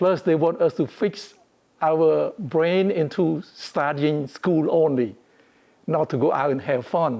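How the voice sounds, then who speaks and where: A man with a Cambodian accent talks at a very slow pace and a fairly high pitch, with ordinary pitch variation and very even loudness. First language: Khmer. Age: 80s+. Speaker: interviewee, community elder. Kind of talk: personal testimony interview.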